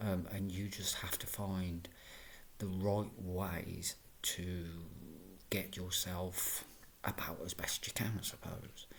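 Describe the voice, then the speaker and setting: Whispering at a very slow pace with long, frequent pauses, a man is heard through audible room echo and noticeable background noise. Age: 40s. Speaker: vlogger with fibromyalgia. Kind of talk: personal video diary. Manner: halting, many fillers and repeats.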